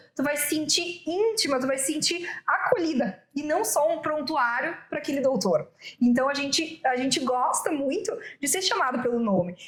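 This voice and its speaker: The voice moves through very wide pitch swings, with noticeable background noise and audible room echo. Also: woman, high pitch for a woman. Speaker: women's business mentor. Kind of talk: interview. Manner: fast.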